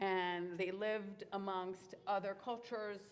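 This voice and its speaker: A woman speaks at a medium pitch with a French accent. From Israel, Moroccan-Tunisian immigrant family. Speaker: cantor. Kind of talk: Q&A talk to children and families. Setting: synagogue. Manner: casual, animated.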